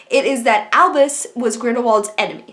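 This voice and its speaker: Noticeable background noise accompanies a woman speaking at a high pitch. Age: 20s. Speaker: book and film reviewer. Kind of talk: video review. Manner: animated.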